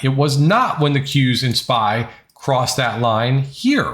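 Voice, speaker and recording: A man speaks at a fairly slow pace. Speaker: day trading educator. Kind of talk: trading recap tutorial. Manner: casual, animated.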